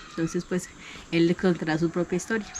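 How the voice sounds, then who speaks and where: The speaker is a woman. Her pitch is fairly low. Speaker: ecolodge host. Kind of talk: presentation.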